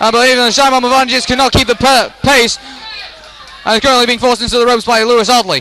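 Over crowd noise in the background, a man uses a raised, projected voice at a fairly quick pace with monotone, flat intonation, in a dry sound with no echo. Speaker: boxing commentator. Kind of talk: sports commentary.

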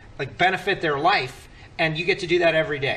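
A man is speaking. His pitch is high. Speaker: show host. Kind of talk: roundtable host introduction. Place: studio. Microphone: podium.

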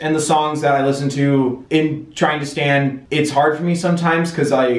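Fairly even intonation marks a man's speech, which carries audible room echo. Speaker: video creator. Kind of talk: casual Q&A vlog chat. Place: home room.

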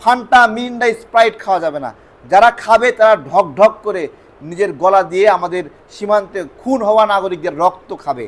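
A man with a high pitch speaks in an animated tone, his pitch varying in an ordinary way. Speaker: YouTube political commentator. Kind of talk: political commentary monologue.

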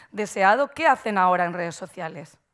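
A woman speaks in a Murcian accent at a moderate pace. The background is quiet. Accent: Murcian Spanish, drops consonants. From Murcia, Spain; Spain. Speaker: marketing agency owner, conference speaker; conference speaker. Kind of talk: conference talk. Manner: frequent fillers and hesitations; careful pronunciation. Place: stage. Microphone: headset.

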